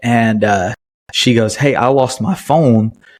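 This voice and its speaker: The speaker has a Southern US accent and ordinary pitch variation. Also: man. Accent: Southern US, fairly country. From US South, Chattanooga area, Tennessee. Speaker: podcast host. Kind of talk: casual personal storytelling. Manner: halting, many fillers.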